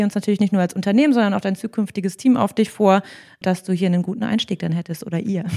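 A woman talks at a very fast pace in a medium-pitched voice with a dark, mellow tone and fairly even intonation. The recording is very clean, with a silent background. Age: 30s. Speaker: HR manager. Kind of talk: interview. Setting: company office.

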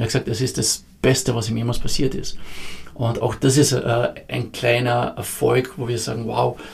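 A man speaks at a medium pitch and a moderate pace. It is an ordinary speaking voice. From Austria, Carinthia. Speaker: founder of a youth entrepreneurship program. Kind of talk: podcast interview.

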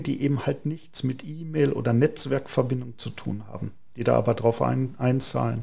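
A man with a plain, everyday voice, a medium pitch, and ordinary pitch variation talks at a moderate pace with hardly any pauses. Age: 40s. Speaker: podcast host, marketing manager. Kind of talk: podcast interview.

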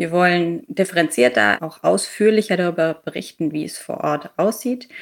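A woman's fairly low pitch with ordinary pitch variation. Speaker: corporate sustainability manager. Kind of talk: interview. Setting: video call. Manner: fast.

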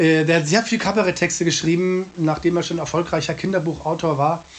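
This man has a high-pitched voice and talks at a fairly quick pace. Noticeable background noise is present. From Munich, Bavaria. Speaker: cabaret artist. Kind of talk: interview. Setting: remote call from home.

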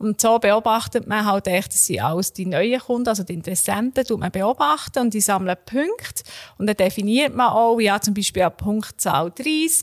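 Speaking at a moderate pace in an ordinary speaking voice, a woman with a fairly high pitch and ordinary pitch variation is captured in a dry, close sound with no echo. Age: 30s. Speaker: marketing expert. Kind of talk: explanatory interview.

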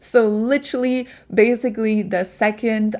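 On a very clean recording with a silent background, a woman with a German accent speaks at a fairly slow pace in a fairly high pitch. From Germany. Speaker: podcast host, business coach. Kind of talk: casual solo monologue. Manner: animated.

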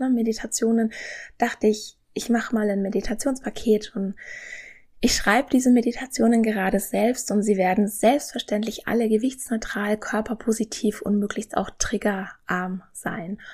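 A fairly high-pitched woman's voice, somewhat breathy with a calm, soothing tone, fairly even intonation and a moderate pace. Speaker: nutrition scientist and podcast host. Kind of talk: podcast monologue, informative.

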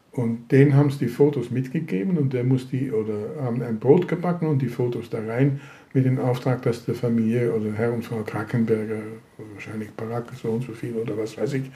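Here a man with a Dutch accent speaks at a medium pitch. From Netherlands. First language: Dutch (speaking German). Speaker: Holocaust survivor. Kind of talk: interview testimony. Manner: halting.

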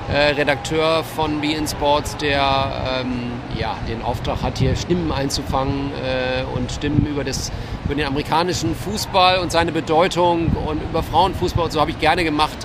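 Noticeable background noise and audible room echo surround a man's fairly high-pitched voice. He talks at a moderate pace with fairly even intonation. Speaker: freelance sports journalist. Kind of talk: casual chat. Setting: outdoors at tennis tournament media area.

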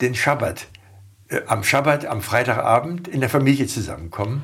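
A man with a somewhat breathy, medium-pitched voice talks with lively intonation. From Germany, Hanover. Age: 70s. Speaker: former politician. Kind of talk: interview.

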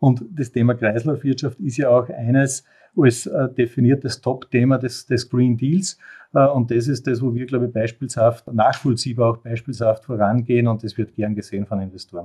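Fairly even intonation marks a man's somewhat breathy voice. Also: medium pitch for a man, moderate pace. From Upper Austria. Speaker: industrial company CEO. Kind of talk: interview.

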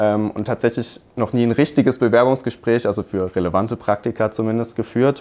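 In a plain, everyday voice, a man talks at a fairly quick pace and medium pitch with hardly any pauses. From Hockenheim, Baden-Württemberg, Germany. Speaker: business student. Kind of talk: casual interview.

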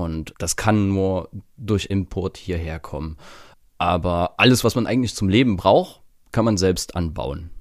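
A man with a slight Saxon accent speaks fairly slowly in a very deep, low pitch with ordinary pitch variation, on a very clean recording with a silent background. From Saxony, eastern Germany. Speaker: media designer and event organizer. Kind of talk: casual interview.

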